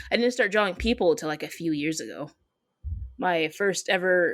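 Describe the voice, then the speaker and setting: An ordinary speaking voice with an American accent moves at a moderate pace. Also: woman. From Michigan. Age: 20s. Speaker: comic artist. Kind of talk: interview.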